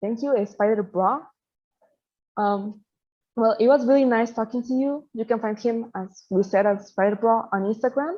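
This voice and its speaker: A woman speaks at a moderate pace with a Spanish accent. Her pitch is fairly high, with ordinary variation. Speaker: interviewer. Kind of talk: interview.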